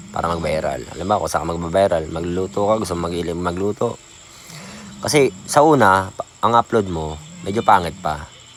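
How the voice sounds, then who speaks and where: Soft-spoken man with a very deep, low pitch at a moderate pace, music in the background. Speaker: small content creator. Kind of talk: casual vlog talk. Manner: soft, lowered voice; halting.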